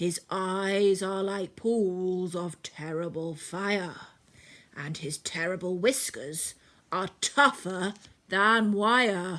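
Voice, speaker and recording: A female-sounding, put-on character voice at a middle pitch speaks at a very slow pace in a very clean recording with a silent background. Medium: read story.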